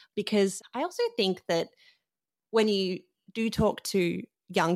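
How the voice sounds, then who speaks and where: In an Australian accent, a woman speaks with vocal fry. The sound is dry and close with no echo, and the recording is very clean with a silent background. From Sydney, Australia. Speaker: musician. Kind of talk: interview.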